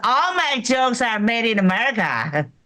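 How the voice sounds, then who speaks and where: A woman's high voice with very wide pitch swings, at a moderate pace. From China. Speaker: stand-up comedian. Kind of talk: stand-up.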